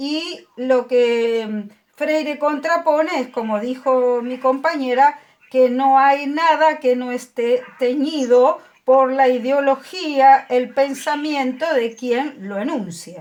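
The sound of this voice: At a slow pace with few pauses, a woman speaks at a high pitch with ordinary pitch variation and a slightly mellow tone.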